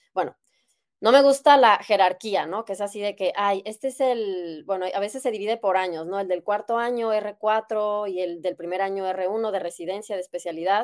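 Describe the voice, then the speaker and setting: In a Mexican accent, a woman speaks at a medium pitch and a moderate pace. Her pitch variation is ordinary, and the recording is very clean with a silent background. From Mexico, Guadalajara. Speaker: doctor. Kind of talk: interview. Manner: hesitant, many fillers.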